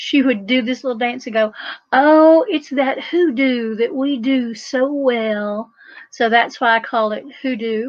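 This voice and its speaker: A woman's high-pitched voice with an Appalachian accent at a fairly slow pace. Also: ordinary pitch variation. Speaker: folk magic practitioner and author. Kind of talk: talk at a festival. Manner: animated.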